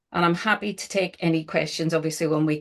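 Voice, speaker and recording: Over a quiet background, a woman speaks in a Northern Irish accent. Her pitch is fairly low. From Northern Ireland. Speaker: social value consultant and trainer. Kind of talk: webinar presentation. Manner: hesitant, many fillers.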